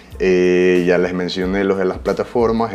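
A man speaks in a very deep, low voice. His pace is fairly slow. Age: 20s. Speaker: podcast host. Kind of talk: casual solo podcast monologue. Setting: studio. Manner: animated.

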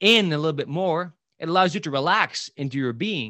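Speaking at a moderate pace, a man uses an animated tone, a fairly high pitch and ordinary pitch variation. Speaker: public speaking coach and podcast host. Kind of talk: interview.

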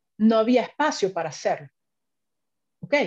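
Recorded in a dry, close sound with no echo, the speaker carries a dark, mellow tone. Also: woman, quiet background. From Venezuela. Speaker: finance executive. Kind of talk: interview.

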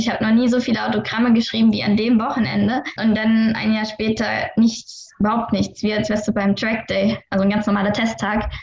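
A woman with a fairly high pitch and monotone, flat intonation at a moderate pace with hardly any pauses, amid noticeable background noise. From Saarland, Germany. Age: 20s. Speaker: racing driver. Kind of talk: interview.

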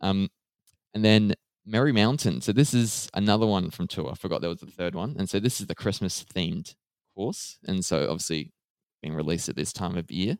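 A man with an Australian accent speaks at a fairly quick pace, his pitch fairly low with ordinary variation. The sound is dry and close, with no echo. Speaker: gaming podcast host. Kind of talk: casual chat.

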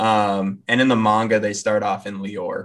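Against a quiet background, a man with an ordinary speaking voice talks at a fairly slow pace and a fairly low pitch. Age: 20s. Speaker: anime podcast co-host. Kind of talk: casual chat.

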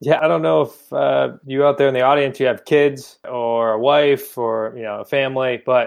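This man has an ordinary speaking voice, medium in pitch, delivered at a moderate pace with ordinary pitch variation. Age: 20s. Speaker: real estate investor. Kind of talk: interview.

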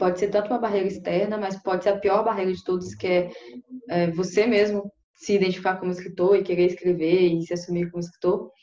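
At a fairly quick pace, a woman of medium pitch talks with fairly even intonation in an ordinary speaking voice. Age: 20s. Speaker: writer. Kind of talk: casual chat.

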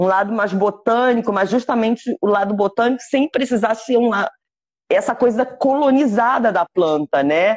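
A woman speaks at a moderate pace in a fairly high voice with lively intonation. The sound is dry and close with no echo, and her loudness stays very even. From Brazil. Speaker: cannabis activist and content creator. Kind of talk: interview.

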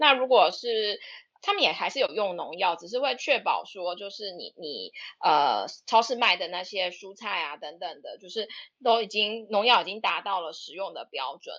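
A woman with a plain, everyday voice talks at medium pitch and a moderate pace, her loudness swinging a lot. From Taiwan, Taipei. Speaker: dentist. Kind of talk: casual chat. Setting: online audio room.

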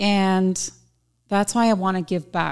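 A woman speaks at a very slow pace with a medium pitch. The recording is very clean, with a silent background. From Southern California. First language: Spanish. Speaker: boutique owner. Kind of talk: casual interview chat. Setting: studio.

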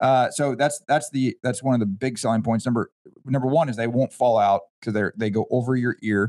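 An unremarkable speaking voice: a man with an American accent, fairly quick pace, ordinary pitch variation, dry, close sound with no echo. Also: medium pitch for a man. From Kansas. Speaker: running store owner and race timer. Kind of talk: casual chat.

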